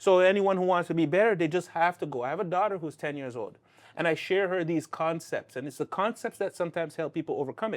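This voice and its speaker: In a dry, close recording with no echo and a quiet background, a high-pitched man speaks very fast with ordinary pitch variation. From Canada. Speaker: life coach and speaker. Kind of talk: interview.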